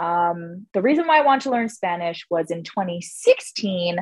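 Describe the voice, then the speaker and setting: Her pace is very slow. The woman speaks with lively intonation. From Canada. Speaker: stand-up comedian. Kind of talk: interview.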